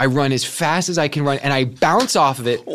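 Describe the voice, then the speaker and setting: There is noticeable background noise as a man with an American accent talks with lively intonation. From Kansas City area, US Midwest. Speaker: actor. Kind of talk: casual interview.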